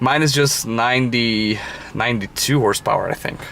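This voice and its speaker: A man speaks with a Brazilian Portuguese accent. His pace is fairly slow and his pitch variation ordinary. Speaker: car enthusiast vlogger. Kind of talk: casual walkaround vlog. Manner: halting, many fillers.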